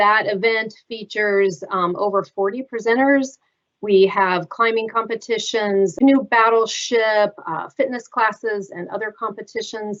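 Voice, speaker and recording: This woman has a plain, everyday voice, fairly high in pitch. She talks at a fairly slow pace with fairly even intonation. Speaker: event host. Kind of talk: event introduction.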